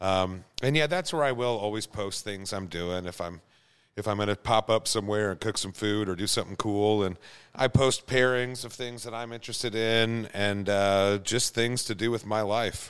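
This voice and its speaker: A man with a plain, everyday voice and an American accent, fairly low in pitch with ordinary pitch variation, at a moderate pace in a very clean recording with a silent background. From Kansas. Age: 40s. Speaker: home cook and beer professional. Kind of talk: casual chat.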